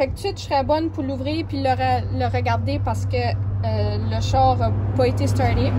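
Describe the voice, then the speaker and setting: A woman speaks at a moderate pace in an Acadian accent. The sound is dry with no echo, though noticeable background noise is present. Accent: Acadian French with English code-switching. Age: 20s. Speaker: car maintenance tips presenter. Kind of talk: casual how-to talk to camera.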